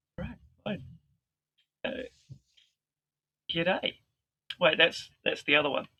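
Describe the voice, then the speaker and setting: A man with a New Zealand accent at a fairly slow pace, with long, frequent pauses and big swings in loudness. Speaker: vicar. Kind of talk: interview.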